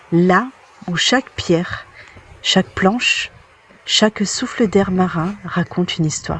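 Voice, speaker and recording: Through noticeable background noise, the speech comes at a very slow pace with long, frequent pauses. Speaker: interviewer. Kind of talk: documentary narration.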